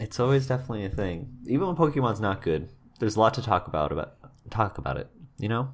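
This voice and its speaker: Very wide pitch swings and vocal fry at a very fast pace, in a very clean recording with a silent background. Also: man, medium pitch for a man. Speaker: video game podcast co-host. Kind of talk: casual chat. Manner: talkative.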